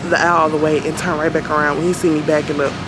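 A woman speaks at a very fast pace with music in the background. The sound is dry with no echo. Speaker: vlogger. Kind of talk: casual vlog chat. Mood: uneasy, telling about a stranger. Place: shop. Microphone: phone near.

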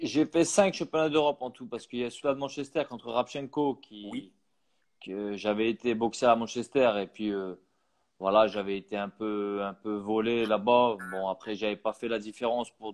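A man with an unremarkable speaking voice, medium pitch, ordinary pitch variation, a moderate pace and big swings in loudness, against a quiet background. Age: 30s. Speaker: professional boxer; guest. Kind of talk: interview. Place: home room. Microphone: earbuds.

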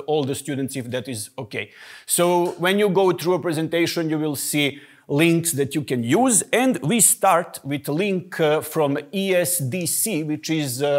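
The man speaks at a fairly slow pace over a quiet background. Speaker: guest lecturer. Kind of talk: lecture. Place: classroom.

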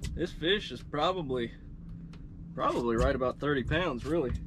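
A man at a moderate pace and medium pitch, with lively intonation and clear background noise

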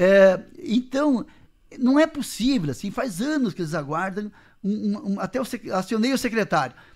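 Against a quiet background, a man with a high pitch talks at a fairly slow pace, his voice moving in very wide pitch swings. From not from the town, moved to the Missões region of Brazil; Brazil. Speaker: city councillor and mayoral pre-candidate; council interviewee, candidate. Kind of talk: radio interview. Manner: halting. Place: studio. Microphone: studio mic.

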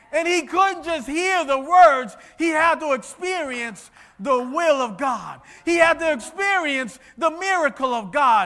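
A man in a raised, projected voice with extremely high pitch speaks in an animated tone at a fairly slow pace. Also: lively intonation. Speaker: preacher. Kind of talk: sermon. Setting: church with congregation. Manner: animated, exhorting the congregation with repeated phrases and direct calls to respond. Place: church.

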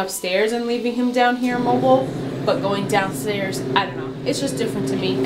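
The speech moves at a fairly quick pace. Loud noise fills the background. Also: woman. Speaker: mother vlogger. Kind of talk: casual vlog chat. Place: home room. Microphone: phone near.

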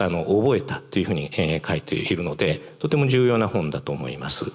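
Against a quiet background, a man's very deep, low voice moves through very wide pitch swings. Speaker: museum director and professor. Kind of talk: public lecture. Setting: stage with audience. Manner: halting; formal. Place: hall. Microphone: handheld.

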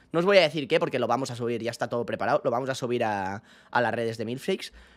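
A man talking at a very fast pace with lively intonation. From Spain. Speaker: streamer. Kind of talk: casual livestream chat. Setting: bedroom stream setup. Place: home room. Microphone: studio mic.

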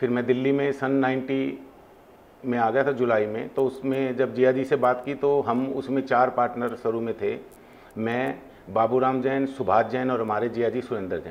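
Fairly even intonation from a man, delivered at a moderate pace. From Hisar, Haryana, India; Haryana, India. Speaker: industrialist; interview guest. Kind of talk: interview. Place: studio.

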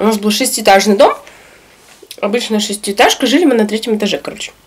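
A woman's voice, with ordinary pitch variation, comes through light background noise. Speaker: eating vlogger. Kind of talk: casual vlog chat while eating. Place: home room.

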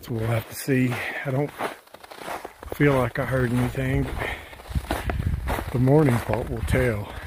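Over noticeable background noise, a man talks at a fairly slow pace with fairly even intonation and long, frequent pauses, in a dry sound with no echo. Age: old. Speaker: hiking vlogger. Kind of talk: outdoor vlog narration. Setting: outdoors on a snowy mountain trail. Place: forest. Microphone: phone near.

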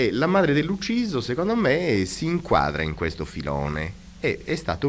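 A man's voice with vocal fry over light background noise. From Sardinia. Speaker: art history professor. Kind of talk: radio interview. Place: studio. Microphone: old recording.

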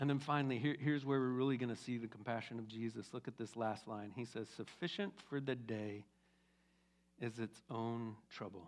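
A man at medium pitch, talking at a moderate pace with ordinary pitch variation. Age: 50s. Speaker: pastor. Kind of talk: sermon. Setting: church. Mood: warm, encouraging. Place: church. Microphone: headset.

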